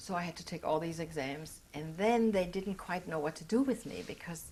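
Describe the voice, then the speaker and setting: A woman with a German accent speaks in a fairly low pitch. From Austria. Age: 60s. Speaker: Holocaust survivor. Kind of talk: oral history interview. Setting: recorded interview.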